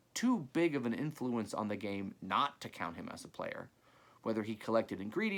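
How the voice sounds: This is a natural reading voice. Nothing else is described.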